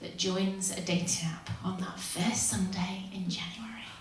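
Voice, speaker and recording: A woman with a West Yorkshire accent at a fairly slow pace, with audible room echo and noticeable background noise. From northern England, Huddersfield. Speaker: stand-up comedian. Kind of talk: stand-up. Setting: stage with audience.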